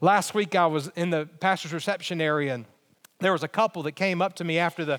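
Over a very clean, silent background, a man with an Alabama accent speaks at a high pitch and a fairly quick pace with ordinary pitch variation. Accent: Southern US (Alabama). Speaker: pastor. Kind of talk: sermon.

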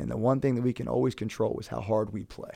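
This man speaks at a fairly low pitch with vocal fry, a dark, mellow tone and fairly even intonation. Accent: American. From Maryland, Brunswick. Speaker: high school basketball coach. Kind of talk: interview.

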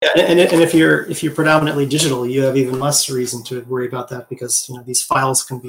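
Fairly even in intonation and somewhat breathy, a man speaks at medium pitch with an American accent. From US Midwest, Wisconsin. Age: 40s. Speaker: concept artist and art teacher. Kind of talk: interview.

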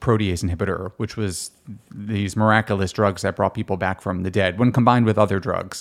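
A man's normal speaking voice with an American accent, fairly low pitch and fairly even intonation, in a very clean recording with a silent background. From Miami Beach, Florida. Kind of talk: casual interview conversation.

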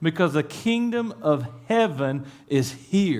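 With an Appalachian accent, a man speaks with very wide pitch swings. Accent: Appalachian Kentucky. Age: 40s. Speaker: pastor. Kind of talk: sermon. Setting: church.

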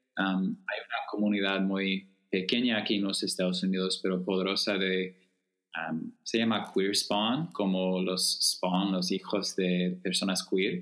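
In an American accent, a man speaks fairly slowly at a fairly low pitch, his intonation monotone and flat and his loudness very even. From US Midwest, Chicago suburbs. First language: English (speaking Spanish). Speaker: writer, activist and theology student. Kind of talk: casual interview chat. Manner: slow, halting Spanish.

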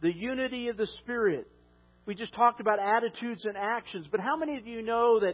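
A loud male voice at a fairly quick pace with ordinary pitch variation. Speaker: pastor. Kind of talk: sermon. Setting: church.

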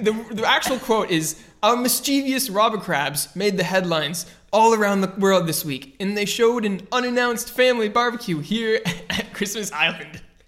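Over music in the background, a man with a high pitch talks at a moderate pace with ordinary pitch variation. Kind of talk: casual comedic banter. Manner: rambling, filler-heavy, jokey.

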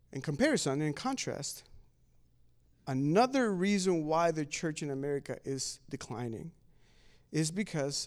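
The delivery moves at a moderate pace with lively intonation. The recording is very clean, with a silent background. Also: man. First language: not English. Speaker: pastor. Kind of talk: sermon.

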